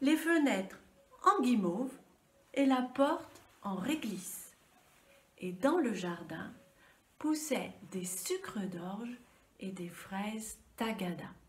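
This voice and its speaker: A voice with a gentle tone speaks at a very slow pace, its pitch swinging very widely. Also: woman. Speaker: storyteller. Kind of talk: children's story telling. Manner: gentle, soft.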